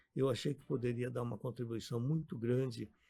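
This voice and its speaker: Somewhat breathy and dark, mellow in tone, a man's medium-pitched voice moves with ordinary pitch variation. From Brazil. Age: 70s. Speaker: physician and businessman, former state deputy. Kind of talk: radio interview.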